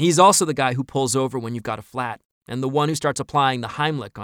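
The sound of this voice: Over quiet surroundings, the text is read in a voice that sounds unforced.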